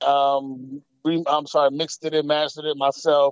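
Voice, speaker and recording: Heard here is a plain, everyday voice moving at a moderate pace. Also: man. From Atlanta, Georgia (born in Queens, New York). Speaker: rapper. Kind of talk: interview. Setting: phone call. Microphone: phone line.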